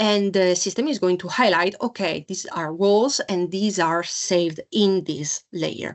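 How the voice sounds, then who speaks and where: Her pace is very slow. The woman's voice sits at a medium pitch. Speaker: software sales representative. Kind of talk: product demo webinar. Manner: hesitant with many fillers.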